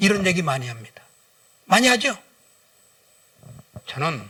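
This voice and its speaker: A man with a high pitch moves through very wide pitch swings at a moderate pace. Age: 60s. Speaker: guest pastor and businessman. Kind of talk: sermon. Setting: church service. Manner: animated.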